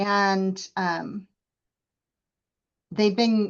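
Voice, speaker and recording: A woman's medium-pitched voice comes through with little else to hear behind it. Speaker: college program instructor. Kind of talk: meeting presentation. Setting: video call.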